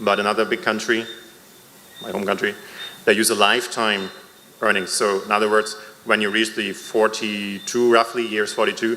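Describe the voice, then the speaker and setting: Over noticeable background noise, a man speaks at a moderate pace in a fairly low pitch with flat, monotone intonation. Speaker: member of the public at a town hall. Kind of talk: public comment at a town hall meeting. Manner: hesitant, with fillers.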